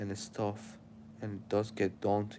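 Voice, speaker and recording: Dark and mellow, a man's voice sits at a fairly low pitch. He speaks at a moderate pace. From Syria. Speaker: live streamer. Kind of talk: casual live stream chat. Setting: live stream. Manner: casual, rambling.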